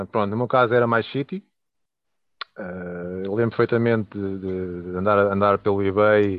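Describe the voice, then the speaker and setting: A man's fairly low, flat, monotone delivery at a fairly slow pace, in a European Portuguese accent. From Portugal (Leiria). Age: 30s. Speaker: toy collector. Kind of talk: casual chat. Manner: halting.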